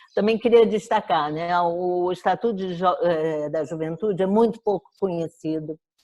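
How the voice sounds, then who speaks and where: A woman's dark, mellow voice, fairly low in pitch, at a moderate pace with ordinary pitch variation and hardly any pauses. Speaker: professor of education. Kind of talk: lecture.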